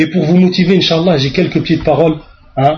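Fairly high in pitch, a man speaks. His intonation stays monotone and flat. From France, suburbs. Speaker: Islamic preacher. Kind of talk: religious lecture. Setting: mosque.

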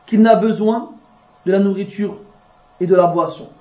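Over noticeable background noise and audible room echo, a man talks at a fairly slow pace with a high pitch. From France. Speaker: Islamic religious teacher. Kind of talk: religious lecture.

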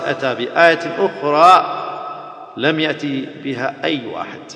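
Noticeable background noise runs under the clip. A man speaks with ordinary pitch variation. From Iraq. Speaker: Islamic preacher.

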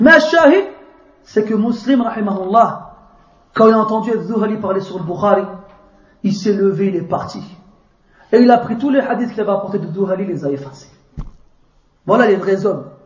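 A man's high pitch with ordinary pitch variation, a moderate pace broken by long, frequent pauses, and audible room echo. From France. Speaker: Islamic preacher. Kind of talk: religious lecture. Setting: mosque.

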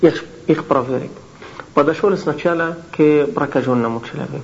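Over noticeable background noise and audible room echo, a man with an Arabic accent speaks at a fairly slow pace, his fairly high pitch showing ordinary variation. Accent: Arabic accent in Russian. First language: Arabic (speaking Russian). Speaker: Islamic lecturer. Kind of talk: lecture. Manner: halting.

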